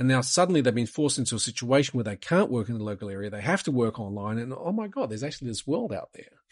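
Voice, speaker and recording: Talking at a very fast pace with hardly any pauses, a man of medium pitch uses lively intonation with an Australian accent. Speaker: private equity investor. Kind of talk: interview. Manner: direct, to the point.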